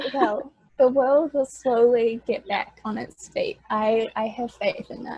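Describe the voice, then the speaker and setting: A woman speaks very slowly in a New Zealand accent, her pitch high. Her loudness swings widely while her intonation stays fairly even. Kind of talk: podcast guest conversation.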